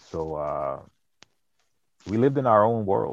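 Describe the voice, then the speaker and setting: A man speaks with lively intonation. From Boston, US. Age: 30s. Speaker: mead maker and wastewater compliance worker. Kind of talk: casual interview.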